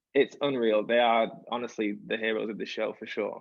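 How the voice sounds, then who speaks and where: A man speaks at a moderate pace with an English accent. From England. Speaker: musical theatre performer. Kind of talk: interview. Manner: animated.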